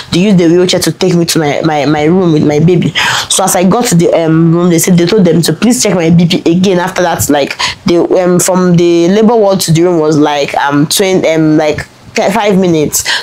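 A woman with a Nigerian accent speaks at a fairly quick pace, her fairly low pitch held in fairly even intonation. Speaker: lifestyle vlogger. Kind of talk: personal storytelling vlog. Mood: emotional, earnest storytelling. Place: home room.

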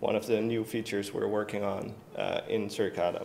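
A man with a Dutch accent at a moderate pace, light noise in the background. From Netherlands. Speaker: software developer; conference presenter. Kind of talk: conference talk. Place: stage.

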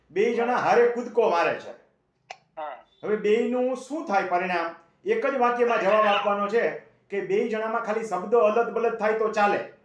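A man speaks in a high pitch with fairly even intonation. Some room echo can be heard. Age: 60s. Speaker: agricultural land-law advisor. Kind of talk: phone-in advice.

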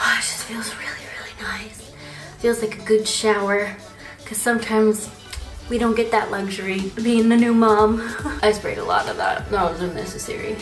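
Faint music plays behind a woman speaking at a moderate pace with fairly even intonation, her voice carrying audible room echo. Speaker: beauty vlogger. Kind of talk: casual vlog tutorial. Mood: relaxed, playful. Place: bathroom. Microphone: phone near.

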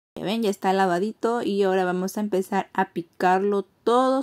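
A woman with a normal speaking voice at medium pitch, against a quiet background. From Peruvian Amazon, Iquitos; Peru. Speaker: cooking vlogger. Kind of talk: cooking tutorial. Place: kitchen. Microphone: phone near.

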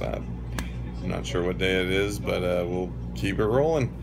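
Clear music in the background behind a man's fairly slow pace. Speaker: family vlogger. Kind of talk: casual vlog chat. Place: home room. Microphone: phone near.

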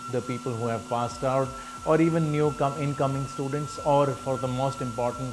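A man talks at a fairly slow pace with fairly even intonation over noticeable background noise. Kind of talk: testimonial interview answer. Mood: earnest, encouraging. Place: classroom.

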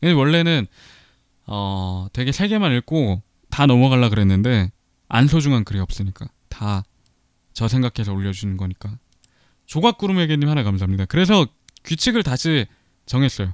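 A man with a medium pitch speaks at a moderate pace in an animated tone, swinging very widely in pitch and leaving long, frequent pauses. The recording is very clean and dry, close with no echo and a silent background. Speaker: streamer and online radio host. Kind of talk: casual chat, live stream radio. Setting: live internet broadcast, reading viewer comments. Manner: chatty, animated, laughs often.

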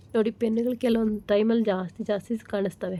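Flat, monotone intonation in a woman's fairly high-pitched voice. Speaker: tailoring YouTuber. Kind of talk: tutorial.

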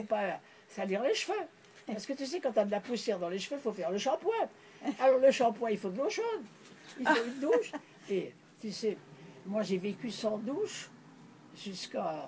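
A woman's lively, rising-and-falling voice at a moderate pace, with long, frequent pauses over light background noise. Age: 80s+. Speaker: pioneer naturist. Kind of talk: interview answer. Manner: reminiscing, conversational. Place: home room. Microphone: phone near.

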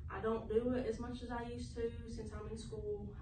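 A woman with an American accent speaks at a moderate pace. Noticeable background noise runs beneath her voice. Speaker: student presenter. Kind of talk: class presentation to camera. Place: classroom. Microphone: camera far.

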